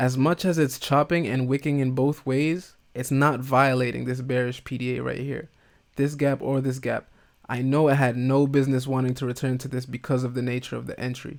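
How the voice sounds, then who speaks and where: Over a silent background in a very clean recording, a man speaks in a flat monotone. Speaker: day trader. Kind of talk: trading session recap. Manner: casual, thinking aloud; slurring words.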